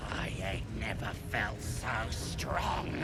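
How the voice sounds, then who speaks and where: Someone performs a put-on character voice. Loud background noise sits behind it. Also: man. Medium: machinima.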